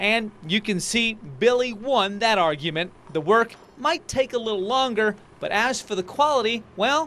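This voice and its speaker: This man's raised, projected voice is high-pitched, bright and sharp. His intonation is lively and his pace moderate. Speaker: TV news reporter. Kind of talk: TV news feature narration.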